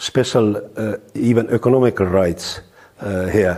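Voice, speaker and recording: A man with an Estonian accent talks at a fairly slow pace, his medium-pitched voice dark and mellow in tone. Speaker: lawyer. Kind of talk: interview testimony. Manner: hesitant, halting.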